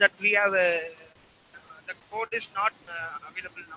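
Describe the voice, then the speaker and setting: A man speaks quietly at a fairly slow pace, his voice high for a man with fairly even intonation, in a dry, close sound with no echo. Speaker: student presenting robotics project. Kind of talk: project presentation. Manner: halting, many fillers. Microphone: far from the mic, too quiet.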